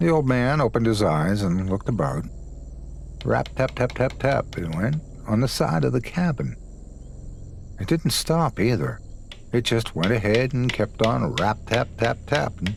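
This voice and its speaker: A man with vocal fry speaks at medium pitch and a moderate pace, his loudness very even. His pitch swings very wide, and he leaves long, frequent pauses. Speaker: guest storyteller lending his voice. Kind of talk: scary story narration.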